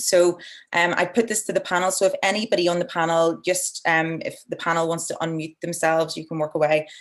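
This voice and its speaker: The speaker has an Irish accent and a fairly quick pace. Intonation stays fairly even, and the background is quiet. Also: woman, fairly low pitch for a woman. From Ireland. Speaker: environmental NGO director and webinar moderator. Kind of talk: webinar moderation. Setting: online video webinar.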